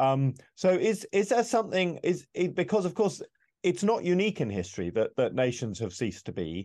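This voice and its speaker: Over a quiet background, a man with a British accent speaks at a moderate pace. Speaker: podcast host. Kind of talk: interview conversation.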